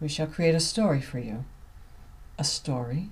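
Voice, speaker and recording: A woman speaks with a very deep, low pitch. Her tone is dark and mellow and somewhat breathy. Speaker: author reading own novel. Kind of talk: audiobook reading.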